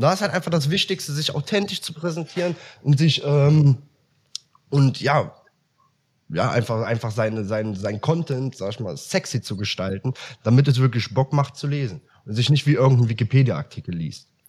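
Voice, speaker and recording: Somewhat breathy and medium in pitch, a man speaks at a moderate pace with lively intonation and long, frequent pauses. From Germany, Aachen. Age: 20s. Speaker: copywriter. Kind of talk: casual interview chat. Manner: hesitant, many fillers.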